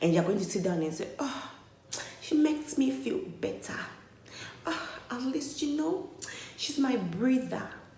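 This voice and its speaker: Her pitch swings very widely as a woman speaks amid noticeable background noise and audible room echo. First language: not English. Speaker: vlogger. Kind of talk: opinion vlog monologue. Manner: animated.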